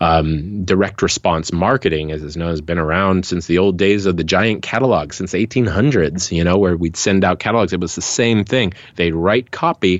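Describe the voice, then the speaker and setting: A man speaks with a very deep, low pitch. He leaves hardly any pauses. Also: ordinary pitch variation, moderate pace. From Hawaii. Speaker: music marketing coach and singer-songwriter. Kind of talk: interview.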